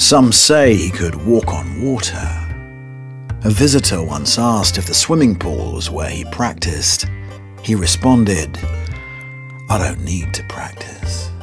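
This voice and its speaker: With clear music playing behind him, a man speaks at a fairly slow pace with lively intonation. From British. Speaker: voice over artist. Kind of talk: documentary-style narration. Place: booth. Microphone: studio mic.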